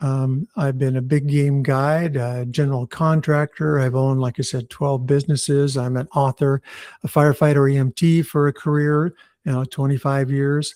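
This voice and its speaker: A man with a fairly high, dark, mellow voice at a moderate pace, dry and close with no echo. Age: 70s. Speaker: author and retired firefighter. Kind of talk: interview. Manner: animated.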